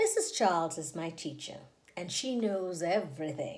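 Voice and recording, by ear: A woman talks at a moderate pace and a fairly low pitch, with big pitch swings, a slightly mellow tone and audible room echo.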